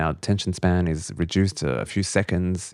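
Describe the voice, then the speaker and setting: Against a quiet background, a man with an Australian accent and a very deep, low pitch speaks at a fairly quick pace with fairly even intonation. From Australia, Lebanese family. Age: 40s. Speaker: journalist and author. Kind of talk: podcast interview.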